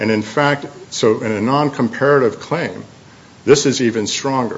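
A man speaks at a moderate pace with ordinary pitch variation, in an ordinary speaking voice. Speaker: appellant's attorney. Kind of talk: appellate oral argument. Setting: courtroom. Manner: formal.

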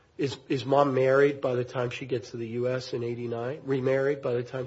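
A man talks at a moderate pace with a medium pitch. He has a plain, everyday voice. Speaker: appellate judge. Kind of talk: judicial questioning. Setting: courtroom.

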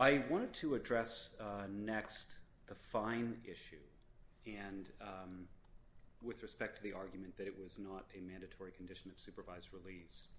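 Big swings in loudness run through this man's unremarkable speaking voice, which is fairly low in pitch and moves at a moderate pace. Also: ordinary pitch variation. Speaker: government prosecutor. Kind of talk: appellate oral argument. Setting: courtroom. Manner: formal.

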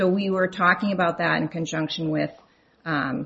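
Her voice shows vocal fry as this woman speaks at a medium pitch and moderate pace with fairly even intonation. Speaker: appellate lawyer. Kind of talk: oral argument before appeals court. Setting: courtroom.

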